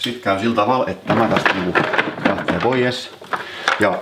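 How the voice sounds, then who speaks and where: Over noticeable background noise, a man with a Turku accent talks at a moderate pace with ordinary pitch variation. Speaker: electrician / electrical engineering teacher. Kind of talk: casual how-to talk to camera. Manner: casual, rambling.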